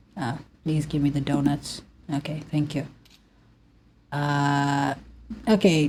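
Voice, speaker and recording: In a non-native accent, a woman speaks very slowly in a very deep, low, somewhat breathy voice with a dark, mellow tone. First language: not English. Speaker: gaming youtuber. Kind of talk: casual vent while gaming. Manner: flat, unexpressive; halting.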